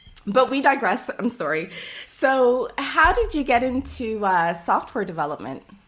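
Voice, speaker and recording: Over noticeable background noise, a woman with a Canadian accent and a high pitch speaks at a fairly slow pace with very wide pitch swings. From Toronto, Canada. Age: 40s. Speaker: podcast host. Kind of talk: podcast interview.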